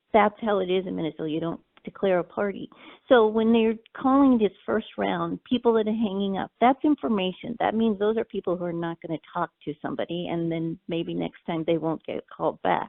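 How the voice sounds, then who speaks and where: In a normal speaking voice with an American accent, someone talks at a fairly quick pace with lively intonation. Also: woman, medium pitch for a woman. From California, US West. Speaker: campaign volunteer. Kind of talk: interview.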